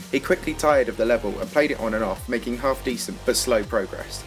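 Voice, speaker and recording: Music plays behind a man who talks very fast. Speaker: gaming documentary narrator. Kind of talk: video game documentary narration. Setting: lower-quality microphone recording.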